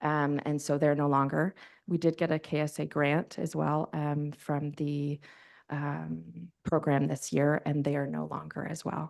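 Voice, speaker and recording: Over a quiet background, a woman with a very deep, low pitch talks at a fairly slow pace in a monotone, flat intonation. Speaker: sledge hockey organization delegate. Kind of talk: council meeting Q&A. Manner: loud.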